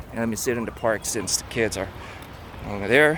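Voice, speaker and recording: A man with a non-native accent talks with lively intonation over noticeable background noise. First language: not English. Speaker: book reviewer. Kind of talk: casual talk. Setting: outdoors in a park. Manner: halting, many fillers.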